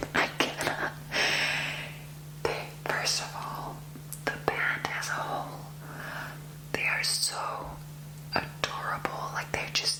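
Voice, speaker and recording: A woman whispers at a very slow pace. Long, frequent pauses come through noticeable background noise. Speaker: ASMR creator. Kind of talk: ASMR whispered rambling. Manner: whispered.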